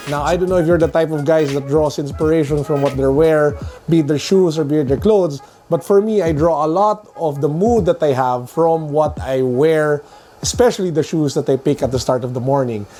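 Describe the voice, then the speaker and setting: A fairly high-pitched man at a fairly quick pace, with ordinary pitch variation and music in the background. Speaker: sneaker and tech reviewer. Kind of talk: casual talk to camera.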